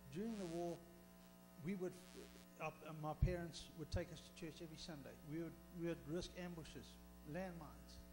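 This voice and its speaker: A man speaks at a moderate pace while music plays behind him. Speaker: speaker. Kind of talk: sermon. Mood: earnest personal testimony. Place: church. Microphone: handheld.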